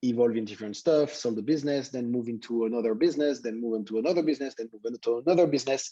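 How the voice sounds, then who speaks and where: Talking very fast, a man uses a dark, mellow tone with ordinary pitch variation. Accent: French. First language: French. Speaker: tech entrepreneur, company founder. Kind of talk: guest talk to students.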